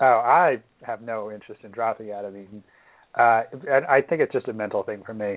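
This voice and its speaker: Talking at a fairly quick pace, a man has an unremarkable speaking voice at medium pitch with ordinary pitch variation. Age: 20s. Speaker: fantasy baseball podcast host. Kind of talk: casual chat.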